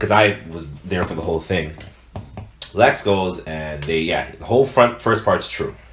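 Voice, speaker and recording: Over noticeable background noise, a man speaks at a fairly slow pace with a very deep, low pitch and ordinary pitch variation. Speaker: podcast co-host. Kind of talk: casual chat.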